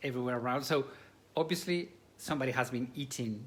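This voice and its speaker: A man with an American accent at a very fast pace, with ordinary pitch variation. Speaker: cooking class host. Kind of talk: live cooking demonstration. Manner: animated.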